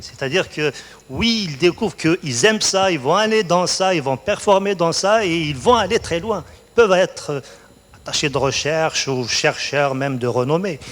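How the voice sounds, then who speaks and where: Noticeable background noise sits behind a man speaking at a moderate pace in a high pitch. His intonation is lively and his loudness swings widely. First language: Berber (speaking French). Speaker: college researcher, award laureate. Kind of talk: onstage interview.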